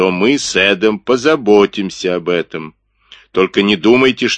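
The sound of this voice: Ordinary pitch variation marks an unforced reading voice, and the background stays quiet.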